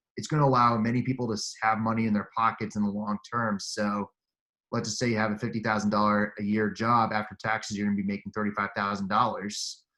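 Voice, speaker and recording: A man speaks loudly and very fast in a fairly low pitch, with a bright, sharp tone and monotone, flat intonation. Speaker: commercial real estate agent. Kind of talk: casual interview.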